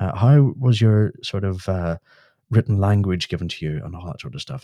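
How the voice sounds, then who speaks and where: A man with a Northern Irish accent and a dark, mellow tone at a moderate pace, dry and close with no echo on a very clean recording with a silent background. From Northern Ireland. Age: 30s. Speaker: UFO society chairperson. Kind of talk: casual chat.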